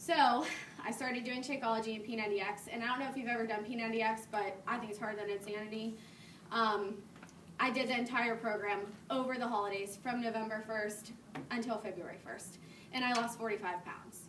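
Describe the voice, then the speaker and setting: Fairly quick delivery with fairly even intonation and audible room echo. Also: woman, fairly high pitch for a woman. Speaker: fitness coach. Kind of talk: talk to a live audience. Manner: mumbling; casual.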